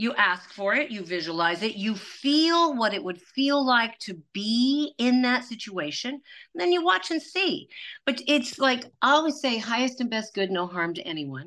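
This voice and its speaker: Over a quiet background, a woman with a fairly high pitch and a bright, sharp tone talks at a moderate pace, her pitch swinging very widely. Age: 60s. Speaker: shaman and spiritual healer. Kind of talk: casual interview chat.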